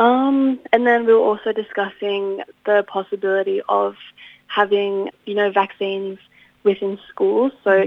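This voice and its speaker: A woman with an Australian accent, at a moderate pace, in a monotone, flat intonation. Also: medium pitch for a woman. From regional New South Wales, Australia (Inverell). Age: young. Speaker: university student and youth representative. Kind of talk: interview.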